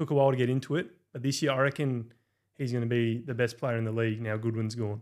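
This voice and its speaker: In a very clean recording with a silent background, a man talks very fast at a medium pitch with fairly even intonation. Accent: Australian. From rural New South Wales, Australia. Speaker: football content creator. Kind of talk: casual chat.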